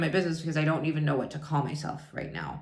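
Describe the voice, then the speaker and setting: Audible room echo surrounds a woman speaking in a very deep, low voice. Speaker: wellness coach. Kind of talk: vlog monologue. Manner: loud.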